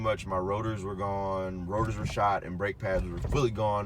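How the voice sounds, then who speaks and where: Noticeable background noise and audible room echo fill the recording as a man talks fairly quickly. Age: 20s. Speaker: car reviewer. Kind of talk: casual talk-to-camera review. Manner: halting, many fillers.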